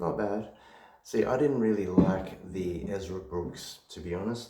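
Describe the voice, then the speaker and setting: A quiet, whispering man at a very slow pace, with audible room echo. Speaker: whiskey reviewer. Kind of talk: casual product review. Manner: quiet, near whisper. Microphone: possible echo.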